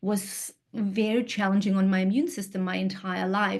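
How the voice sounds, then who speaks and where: A woman with a medium pitch speaks in a dark, mellow tone that is somewhat breathy, with fairly even intonation. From Kyrgyzstan. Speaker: integrative health practitioner. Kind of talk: presentation.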